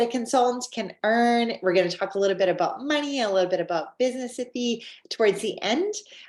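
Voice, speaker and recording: A woman with a Canadian accent speaks at a fairly quick pace in an animated tone and a fairly high pitch, on a very clean recording with a silent background. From Canada. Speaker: network marketing presenter. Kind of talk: sales presentation.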